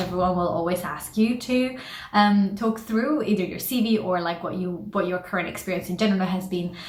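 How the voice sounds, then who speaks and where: With a non-native accent, a woman talks at a fairly quick pace and ordinary pitch variation, while noticeable background noise and audible room echo fill the recording. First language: not English. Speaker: career advice vlogger. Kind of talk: tutorial; casual storytelling. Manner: animated, moves hands a lot.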